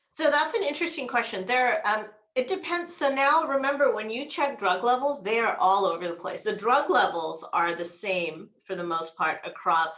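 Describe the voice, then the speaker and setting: A woman's pitch swings very widely as she talks at a moderate pace. Room echo is audible. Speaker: gastroenterologist. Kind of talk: lecture.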